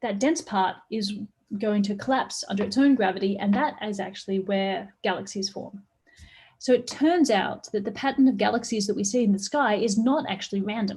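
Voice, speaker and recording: The voice is somewhat breathy, in an Australian accent. Its pitch varies in an ordinary way. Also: woman, medium pitch for a woman. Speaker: astrophysics professor. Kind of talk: public science lecture. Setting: online live stream. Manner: fast.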